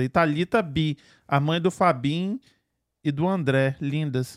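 Recorded very cleanly with a silent background and a dry, close sound with no echo, a man with a Brazilian accent speaks in an animated way at a fairly high pitch with ordinary pitch variation. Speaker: podcast host. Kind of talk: casual chat. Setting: studio.

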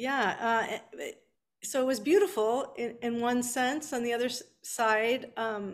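A woman with a Californian accent and a high pitch, speaking at a fairly slow pace in a very clean recording with a silent background. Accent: General American, Californian. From Southern California, Beverly Hills. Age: 50s. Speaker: author. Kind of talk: interview.

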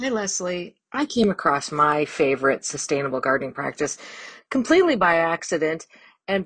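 A woman speaks at a moderate pace in an ordinary speaking voice, fairly low in pitch, against a quiet background. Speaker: gardener. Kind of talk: recorded tip, casual monologue.

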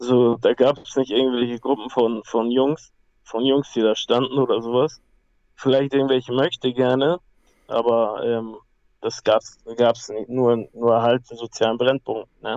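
A man holds a monotone, flat intonation at a medium pitch while talking fairly slowly. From Hamburg, northern Germany. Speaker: MMA fighter. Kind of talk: life story interview. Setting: phone call. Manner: halting.

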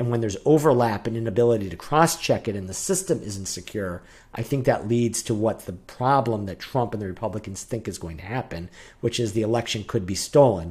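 A man at medium pitch with a somewhat breathy voice, lively intonation, big swings in loudness and a fairly quick pace, on a very clean recording with a silent background. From New Hampshire. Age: 40s. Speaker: podcast co-host. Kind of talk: casual chat.

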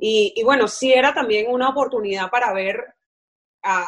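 A woman speaks at a fairly high pitch. Her pace is moderate. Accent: Venezuelan. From Venezuela, Caracas. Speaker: football podcast co-host. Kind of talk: casual chat.

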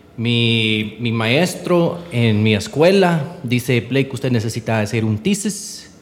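Despite a very slow pace, a man at a medium pitch leaves hardly any pauses, his intonation lively over noticeable background noise. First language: English (speaking Spanish). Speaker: entrepreneur. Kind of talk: interview. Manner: halting.

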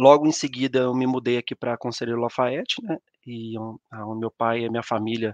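A normal speaking voice, a man's at medium pitch, moves at a fairly quick pace with fairly even intonation. The sound is dry and close, with no echo. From Brazil, Minas Gerais (São João del Rei). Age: 30s. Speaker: mining operations engineer. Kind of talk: live-stream presentation. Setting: online live stream.

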